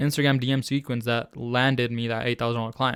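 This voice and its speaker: With a non-native accent, a man at a medium pitch talks at a fairly quick pace in a very clean recording with a silent background. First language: not English. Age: 20s. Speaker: online business coach. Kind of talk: tutorial. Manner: casual.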